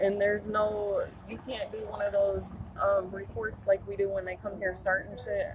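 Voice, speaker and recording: A woman at a moderate pace, in a dry sound with no echo, with noticeable background noise. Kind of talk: complaint to police officer. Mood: angry, exasperated. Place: street.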